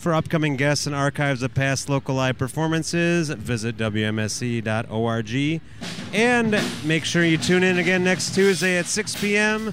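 Music plays in the background as a man speaks at a fairly slow pace with a warm, upbeat tone. His pitch is fairly high, with very wide swings, and his loudness stays very even. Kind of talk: live remote radio hosting: venue intros, sponsor read, band interviews. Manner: warm, chatty, upbeat, joking.

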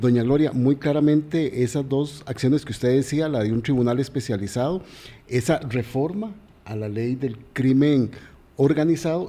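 Here a man speaks at a moderate pace in a medium pitch. His tone is dark and mellow, with ordinary pitch variation. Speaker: radio co-host. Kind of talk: interview. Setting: studio.

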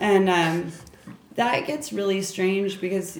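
Noticeable background noise sits behind the recording. A woman speaks with fairly even intonation. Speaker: tattoo artist. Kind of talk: casual chat.

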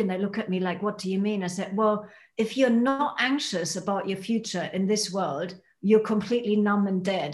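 A woman talks at a moderate pace, her fairly high voice somewhat breathy. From Germany. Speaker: holistic dentist and healer. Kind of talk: casual chat.

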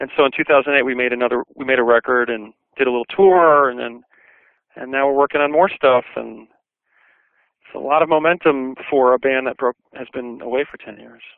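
An ordinary speaking voice from a man with an American accent, at medium pitch and a fairly quick pace, with fairly even intonation and big swings in loudness. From Brooklyn, New York. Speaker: singer and commercial composer. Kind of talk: interview. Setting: phone call.

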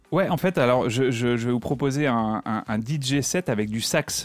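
In a very clean recording with a silent background and a dry, close sound with no echo, a man speaks at a moderate pace, medium in pitch with ordinary pitch variation. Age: 40s. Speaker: DJ. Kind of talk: radio interview. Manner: halting.

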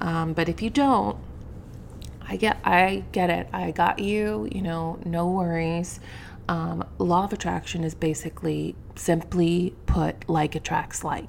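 A woman with a warm tone, lively intonation and a very slow pace. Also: fairly low pitch for a woman. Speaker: podcast host. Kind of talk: solo podcast monologue, casual and spiritual. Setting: home, at a microphone. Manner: casual, chatty, warm.

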